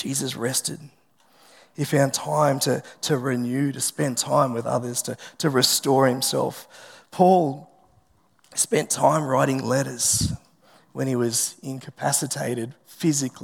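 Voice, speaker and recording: A man with an Australian accent, fairly slow in pace and fairly even in intonation. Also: medium pitch for a man. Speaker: pastor. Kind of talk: sermon. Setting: church.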